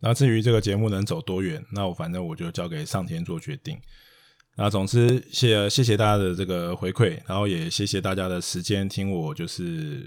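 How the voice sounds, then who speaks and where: A man's fairly low voice with lively intonation at a moderate pace, in a very clean recording with a silent background. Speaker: investment podcast host. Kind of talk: casual chat.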